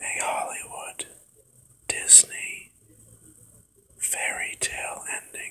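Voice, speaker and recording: Whispering, very slow, with long, frequent pauses over noticeable background noise. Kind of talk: ASMR personal reflection talk. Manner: whispered.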